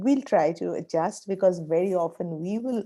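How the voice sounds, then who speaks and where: Speaking at a fairly slow pace with an Indian accent, a woman has a dark, mellow tone and ordinary pitch variation. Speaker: professor. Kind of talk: online class meeting remarks.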